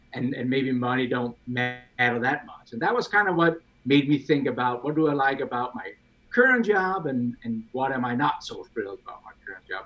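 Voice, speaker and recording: Speaking in a Danish accent, a man talks at a moderate pace with a fairly high pitch. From Denmark. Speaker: CAD software expert. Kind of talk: casual chat. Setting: live stream video call.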